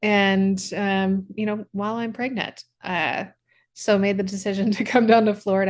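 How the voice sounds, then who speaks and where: A woman at a medium pitch in an unremarkable speaking voice, at a moderate pace. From US Midwest, Kansas and Branson, Missouri. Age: 30s. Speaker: company founder and CEO. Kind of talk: casual chat.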